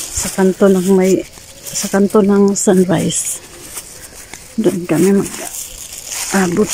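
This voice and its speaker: A woman's medium-pitched, monotone, flat delivery at a very slow pace, over noticeable background noise. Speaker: vlogger. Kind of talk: casual vlog while walking. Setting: outdoors, walking to the beach. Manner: quiet, lowered voice.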